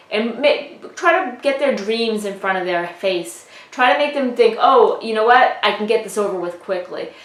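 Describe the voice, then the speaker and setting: Over noticeable background noise and audible room echo, a woman with a fairly high voice speaks at a moderate pace with lively intonation and hardly any pauses. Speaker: real estate trainer. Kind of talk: lecture.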